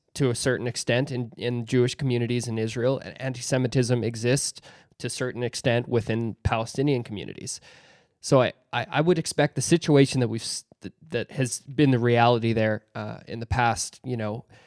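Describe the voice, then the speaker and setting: In an ordinary speaking voice, a man talks at a moderate pace and medium pitch with fairly even intonation, his dry, close sound free of echo on a very clean recording with a silent background. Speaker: podcast host. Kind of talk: podcast interview questions.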